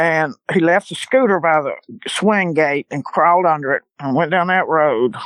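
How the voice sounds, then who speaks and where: In a Louisiana accent, a woman speaks at a moderate pace and a fairly low pitch against a quiet background, the sound dry and close with no echo. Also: ordinary pitch variation. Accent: Louisiana Southern. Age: 70s. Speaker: eyewitness guest. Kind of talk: testimony.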